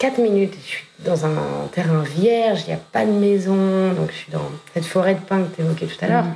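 A woman speaks in an ordinary speaking voice at a fairly low pitch and moderate pace, with ordinary pitch variation and big swings in loudness. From northern France. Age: 40s. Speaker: fashion brand founder. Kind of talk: casual chat.

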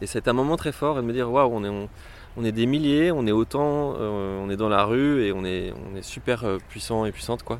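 Moderately paced speech from a man, medium in pitch and ordinary in its pitch variation. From rural France. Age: 30s. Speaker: pride march organiser. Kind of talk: interview testimony. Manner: hesitant, many fillers.

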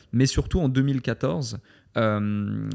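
Recorded very cleanly against a silent background, a man speaks with fairly even intonation and a dark, mellow tone. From Switzerland. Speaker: entrepreneur. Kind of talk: interview. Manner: hesitant, with repetitions.

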